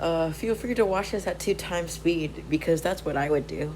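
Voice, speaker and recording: A woman's voice amid noticeable background noise. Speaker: mental health vlogger. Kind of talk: personal vlog monologue. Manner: slow; halting.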